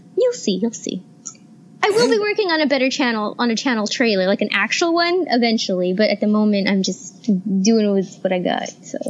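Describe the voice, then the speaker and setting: Squeaky and fairly high-pitched, a woman speaks at a fairly quick pace with lively intonation. Noticeable background noise is present. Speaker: guest co-host. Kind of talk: casual chat.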